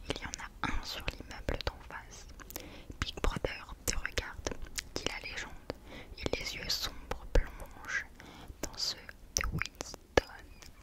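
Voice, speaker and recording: A woman whispers at a very slow pace, stopping for long, frequent pauses. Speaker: ASMR creator. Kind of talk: audiobook-style reading of a novel, whispered. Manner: whispered, soft. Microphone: studio mic.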